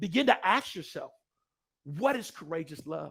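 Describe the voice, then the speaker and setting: A man's raised, projected voice, energetic and bright with a sharp edge, at a moderate pace. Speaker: motivational speaker. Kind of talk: keynote speech. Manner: loud.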